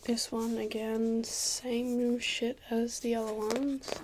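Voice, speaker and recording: A soft-spoken woman with a fairly high pitch and monotone, flat intonation, over noticeable background noise. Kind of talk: ASMR soft-spoken talk to camera.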